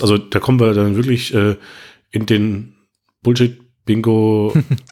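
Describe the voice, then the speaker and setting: Very clean and silent in the background, this recording has a man with a fairly low pitch and a dark, mellow tone. His intonation is monotone and flat, and his loudness stays very even. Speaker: podcast co-host, web developer. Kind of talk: casual tech discussion.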